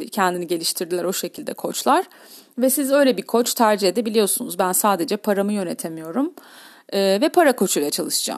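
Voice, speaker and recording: This woman talks at a fairly quick pace with a medium pitch. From Istanbul, Turkey. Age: 40s. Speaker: health and life coach, podcaster. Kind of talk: solo podcast monologue. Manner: hesitant with frequent fillers.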